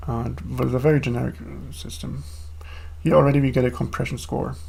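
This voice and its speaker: Talking at a fairly quick pace, a man's loudness swings widely, with audible room echo around him. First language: not English. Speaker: programmer streaming own coding. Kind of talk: live coding stream. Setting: home desk, live stream. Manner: casual, with fillers.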